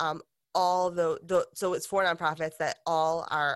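In a very clean recording with a silent background, a woman with a normal speaking voice and a fairly low pitch talks at a moderate pace with fairly even intonation. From Detroit, Michigan, US. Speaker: makeup company founder. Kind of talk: interview conversation. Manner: casual, frequent fillers.

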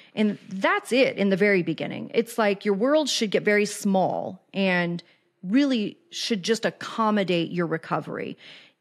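With an American accent, a woman speaks at medium pitch and a moderate pace, in a plain, everyday voice with ordinary pitch variation. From Kansas City, US Midwest. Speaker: addiction recovery podcaster and life coach. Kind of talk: casual interview conversation.

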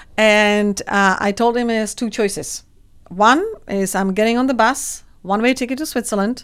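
A woman with a Czech accent at a moderate pace, fairly high in pitch with ordinary variation, on a very clean recording with a silent background. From Czech Republic, rural village. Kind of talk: interview.

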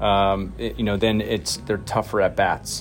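A fairly low-pitched man at a moderate pace, with noticeable background noise. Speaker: baseball manager. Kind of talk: post-game interview.

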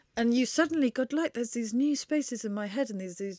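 A woman's fairly high, dark and mellow voice in a southern English accent, with ordinary pitch variation and a dry, close sound with no echo. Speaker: author and journalist. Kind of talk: casual interview. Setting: in-person recording.

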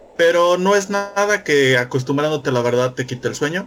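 A man speaks with ordinary pitch variation. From Mexico. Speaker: podcaster guest. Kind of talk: casual chat.

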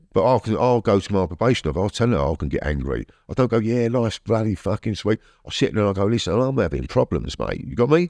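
Over a quiet background, a man with vocal fry and fairly low pitch talks at a very fast pace with very wide pitch swings, in a dry, close sound with no echo. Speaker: former prisoner. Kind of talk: casual chat. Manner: calm.

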